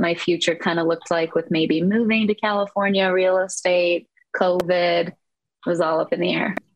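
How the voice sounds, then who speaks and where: With an American accent, a woman speaks at a fairly slow pace in an unremarkable speaking voice, with a fairly low pitch and fairly even intonation. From Eastern Iowa, US Midwest. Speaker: real estate investor. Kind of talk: casual interview.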